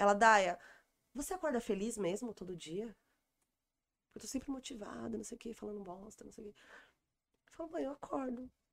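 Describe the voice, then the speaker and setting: A woman talks fairly quickly at a fairly high pitch, with lively intonation and big swings in loudness. Long, frequent pauses break up her speech. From São Paulo, Brazil (Taipas). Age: 40s. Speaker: stand-up comedian. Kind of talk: casual chat.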